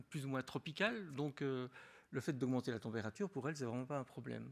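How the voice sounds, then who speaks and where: On a very clean recording with a silent background, a man with a Belgian accent talks at a fairly quick pace and a medium pitch. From Belgium (Wallonia). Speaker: agronomist and beekeeping expert. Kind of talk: conference talk. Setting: lecture hall with audience. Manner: casual, with frequent hesitations and restarts.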